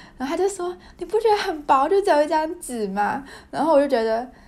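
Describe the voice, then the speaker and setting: A woman's voice with very wide pitch swings. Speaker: podcaster, graduate student. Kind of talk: casual monologue. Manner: halting, many fillers.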